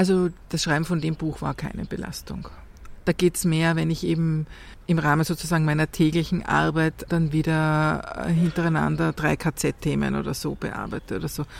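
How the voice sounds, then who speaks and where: A woman talks at a moderate pace. The recording is very clean, and the background is silent. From Austria, Vienna. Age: 50s. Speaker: journalist and author. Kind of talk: interview. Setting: outdoors in a courtyard.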